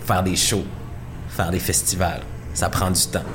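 Music plays in the background while a man speaks amid audible room echo. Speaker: music podcast host. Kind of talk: radio-style music show hosting and interview.

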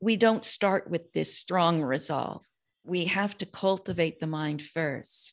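A woman with an American accent at a very slow pace, fairly low in pitch with ordinary pitch variation, on a very clean recording with a silent background. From US West Coast, San Francisco Peninsula. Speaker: Buddhist teacher and author. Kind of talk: interview conversation.

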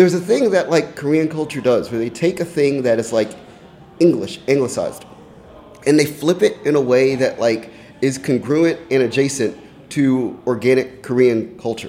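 A man's fairly high voice, with ordinary pitch variation, moves at a moderate pace amid noticeable background noise. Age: 30s. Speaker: music writer and contributor. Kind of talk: casual chat. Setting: studio.

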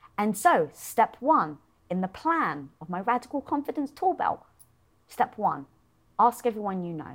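Very wide pitch swings and big swings in loudness mark this moderate-paced voice with a British accent. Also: woman. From Britain. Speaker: entrepreneur and show host. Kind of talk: interview conversation.

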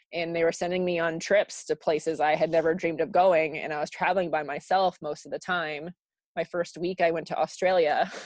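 In an American accent, a woman speaks in a flat monotone at a fairly low pitch over a quiet background. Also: dry, close sound with no echo. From US South, South Florida. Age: 30s. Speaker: meeting planner. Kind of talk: casual chat.

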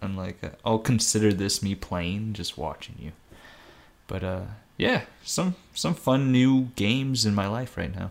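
A man with a fairly low pitch talks at a fairly slow pace in an ordinary speaking voice, his intonation lively. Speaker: guest co-host, gamer. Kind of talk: casual chat.

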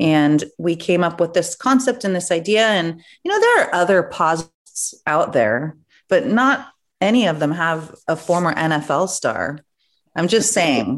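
Fairly slow and lively in intonation, a woman speaks in an unremarkable speaking voice with a fairly low pitch. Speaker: podcast host. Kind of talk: casual chat.

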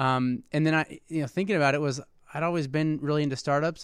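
Talking at a very fast pace, a man has a fairly high pitch and a Midwestern American accent. His intonation stays fairly even. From Indiana (West Lafayette). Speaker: venture investor, startup CEO. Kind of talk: casual interview.

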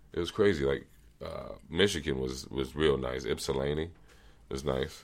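Vocal fry runs through a man's very deep, low-pitched voice. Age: 30s. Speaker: sales account executive. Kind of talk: casual chat.

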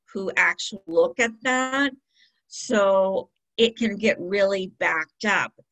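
With an American accent, a woman speaks at a fairly slow pace in an ordinary speaking voice, her fairly high pitch showing ordinary pitch variation. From US West Coast, San Diego County. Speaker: college financial aid director. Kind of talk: interview.

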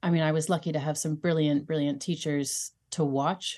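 This woman uses a normal speaking voice, fairly low in pitch and at a moderate pace. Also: quiet background. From United States (moved from UK at age 5). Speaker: dance caller and art academic. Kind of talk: interview conversation. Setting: remote call from home.

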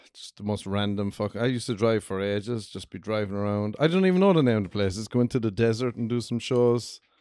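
A man with an Irish accent, fairly low pitch, a dark, mellow tone and ordinary pitch variation, talking at a very fast pace with hardly any pauses. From Ireland. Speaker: stand-up comedian, podcast guest.

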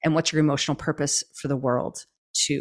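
Speaking at a fairly quick pace with fairly even intonation, a woman with a Canadian accent comes through on a very clean recording with a silent background. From Canada. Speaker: trauma-informed movement coach. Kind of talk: interview conversation.

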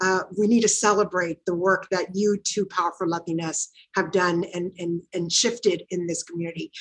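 A normal speaking voice, a woman talks at a medium pitch and a fairly quick pace. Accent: American. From Watsonville, California (US). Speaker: nonprofit executive director. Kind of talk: interview conversation.

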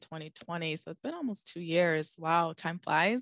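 A woman's unremarkable speaking voice, fairly low in pitch, with lively intonation, an American accent and a quiet background. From Boston. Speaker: oncology pharmacist. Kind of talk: interview.

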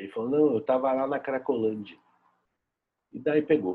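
This is a man talking at a medium pitch. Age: 30s. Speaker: visual artist and social educator. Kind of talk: personal testimony and commentary. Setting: at home.

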